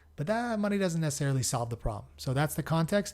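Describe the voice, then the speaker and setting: This man has an American accent and a somewhat breathy voice with ordinary pitch variation. The recording is very clean and the background silent. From Southern California. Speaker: podcast host. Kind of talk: podcast introduction. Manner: casual, hesitant with fillers.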